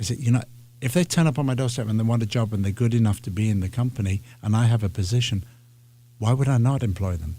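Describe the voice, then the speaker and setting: Very fast and somewhat breathy, a man with a British accent speaks at medium pitch in a dark, mellow tone with ordinary pitch variation, on a very clean recording with a silent background. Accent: British (English) accent, fully intact. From northern England. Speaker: ballet artistic director. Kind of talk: interview. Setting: radio studio. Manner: halting, with many repetitions.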